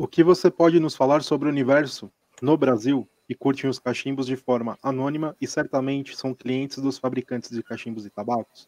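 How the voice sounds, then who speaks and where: The delivery moves at a fairly quick pace. The sound is dry and close, with no echo. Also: man, medium pitch for a man. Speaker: podcast co-host. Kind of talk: casual chat. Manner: animated.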